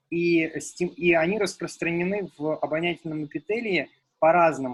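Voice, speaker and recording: The voice carries a Russian accent. Its pitch variation is ordinary. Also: man. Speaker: researcher. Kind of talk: seminar discussion. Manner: halting.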